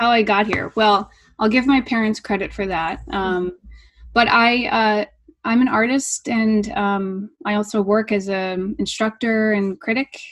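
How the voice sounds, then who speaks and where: Against a quiet background, a woman has a normal speaking voice at a fairly high pitch. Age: 30s. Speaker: artist and art professor. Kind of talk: interview conversation; reading aloud.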